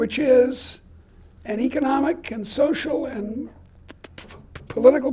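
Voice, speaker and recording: A woman speaks in a high voice with ordinary pitch variation over noticeable background noise. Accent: American. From Boston. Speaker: economics professor. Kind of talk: lecture.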